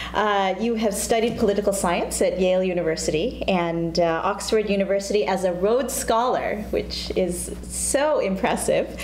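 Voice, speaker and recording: At a moderate pace with hardly any pauses, the speech carries audible room echo over light background noise. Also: woman. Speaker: talk show co-host. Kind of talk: casual interview. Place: studio. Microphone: lapel.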